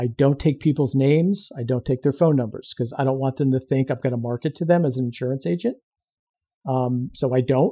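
This man's voice sits at a medium pitch, with a dark, mellow tone and a somewhat breathy quality. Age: 50s. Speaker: insurance agency owner and veteran. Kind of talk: casual interview.

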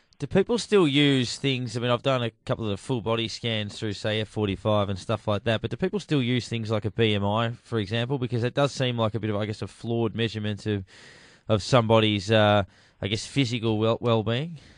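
An Australian accent at a fairly quick pace, with ordinary pitch variation, over a quiet background. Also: man, medium pitch for a man. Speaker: radio host. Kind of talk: radio talk show. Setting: studio.

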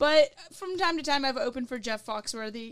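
Speaking with a Southern US accent, a woman talks at a moderate pace on a very clean recording with a silent background. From Louisville, Kentucky. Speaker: comedian. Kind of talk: casual chat. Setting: studio.

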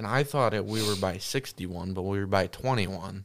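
In an American accent, a man talks at a moderate pace with fairly low pitch and a plain, everyday voice. The recording is very clean, with a silent background. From Wisconsin. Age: 20s. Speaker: guest, hunter. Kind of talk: casual chat. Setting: studio.

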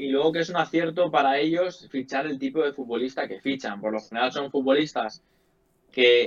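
This man's voice is an unremarkable speaking voice, fairly high in pitch, with ordinary pitch variation at a moderate pace. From Spain, Leganés (Madrid). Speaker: sports journalist. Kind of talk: casual chat.

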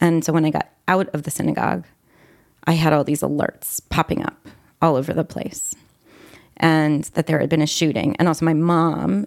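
In a raspy put-on character voice, the speaker goes at a moderate pace with fairly even intonation. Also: woman, very deep, low pitch for a woman. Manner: recounting, choked up.

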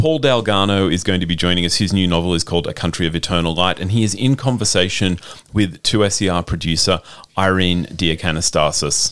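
This man speaks with an Australian accent at a fairly quick pace, his pitch very deep and low. His pitch moves an ordinary amount, and his loudness stays very even. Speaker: radio host. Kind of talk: scripted intro.

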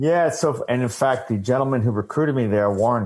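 With an American accent and a normal speaking voice, a man talks at a fairly quick pace with lively intonation. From US Northeast, Long Island. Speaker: army veteran and sports nonprofit director. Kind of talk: interview.

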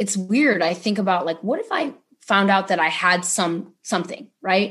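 With a General American accent, a woman uses a normal speaking voice at a moderate pace and ordinary pitch variation. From Ohio, US Midwest. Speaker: public defender attorney. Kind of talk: casual interview.

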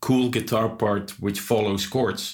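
On a very clean recording with a silent background, a man speaks at a moderate pace with fairly low pitch and fairly even intonation. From Netherlands. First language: Dutch. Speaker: metal guitarist and guitar teacher. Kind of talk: casual interview chat.

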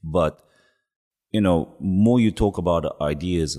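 With a Japanese accent, a man talks in a very deep, low pitch and a dark, mellow tone, his pitch varying in an ordinary way. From Yamagata, Japan. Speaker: record label co-founder. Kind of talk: casual interview chat. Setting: studio.

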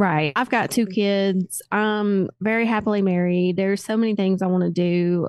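A woman with a Southern US accent, very even loudness and fairly even intonation. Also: medium pitch for a woman, moderate pace, quiet background. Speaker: paramedic, crash survivor. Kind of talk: testimony.

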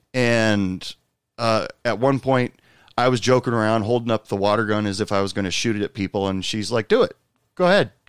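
In a plain, everyday voice, a man speaks at medium pitch and a fairly quick pace with ordinary pitch variation. The very clean recording has a silent background and a dry, close sound with no echo. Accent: American. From Portland, Oregon. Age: 40s. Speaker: podcast host. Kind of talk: casual chat; scripted narration.

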